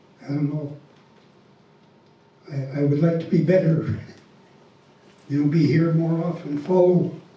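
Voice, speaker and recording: Amid audible room echo, a man with a fairly high pitch and a dark, mellow tone speaks at a moderate pace with fairly even intonation. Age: 70s. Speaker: congregation member. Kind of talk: personal testimony. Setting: temple Sunday program. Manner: halting.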